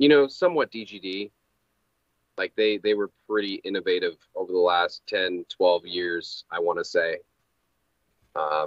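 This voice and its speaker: Speech comes at a fairly slow pace with long, frequent pauses, dry with no echo against a quiet background. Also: man. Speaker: guest. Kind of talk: interview answer. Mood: relaxed, friendly. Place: home room.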